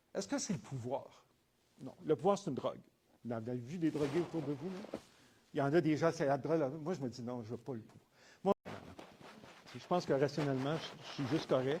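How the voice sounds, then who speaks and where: Somewhat breathy and dark, mellow in tone, a man with a fairly high pitch speaks at a moderate pace with ordinary pitch variation, big swings in loudness and long, frequent pauses. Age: 70s. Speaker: entrepreneur and business professor. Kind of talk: testimony. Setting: conference talk with audience.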